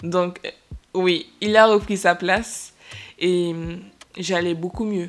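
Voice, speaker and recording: Music plays in the background as a woman speaks in a fairly low pitch. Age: 20s. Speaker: podcast host and young entrepreneur. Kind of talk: casual chat. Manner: hesitant, many fillers.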